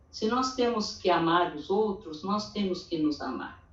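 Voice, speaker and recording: A woman speaks at a very slow pace with lively intonation and a medium pitch. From Brazil, interior of São Paulo state. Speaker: church women's meeting speaker. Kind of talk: testimony.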